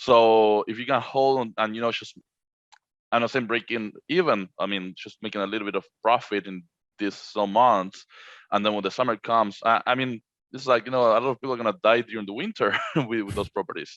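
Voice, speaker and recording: Speaking at a fairly quick pace, a man with a Spanish accent and a medium pitch keeps a fairly even intonation, the sound dry and close with no echo over a quiet background. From Argentina. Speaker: short-term rental co-host. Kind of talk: casual podcast conversation. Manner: halting, repeats words.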